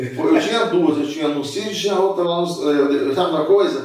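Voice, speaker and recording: Noticeable background noise and audible room echo surround a man whose pitch makes very wide swings. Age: 60s. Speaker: businessman and former lawyer. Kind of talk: casual interview chat.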